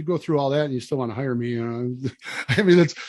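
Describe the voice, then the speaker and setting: A man talks at a very fast pace with a Wisconsin accent. His pitch varies in an ordinary way. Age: 60s. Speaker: land management consultant. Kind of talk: podcast interview.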